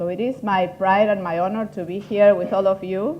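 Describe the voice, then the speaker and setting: Speaking with an Argentine accent, a woman uses a dark, mellow tone at a moderate pace amid audible room echo. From Argentina. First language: Spanish. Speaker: patient advocate and foundation head. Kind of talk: workshop presentation. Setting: conference room with audience.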